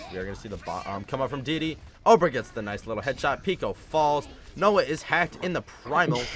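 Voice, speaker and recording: A man with a fairly high pitch speaks fairly quickly in an animated tone, with very wide pitch swings and big swings in loudness. Music plays in the background. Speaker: esports caster. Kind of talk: live commentary. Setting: live stream broadcast.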